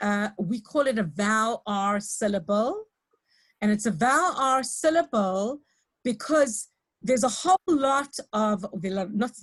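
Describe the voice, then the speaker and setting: A woman's somewhat breathy, fairly high voice in a South African accent, with lively intonation and a fairly slow pace. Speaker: lecturer in teacher training. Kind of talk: lecture. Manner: hesitant, many fillers.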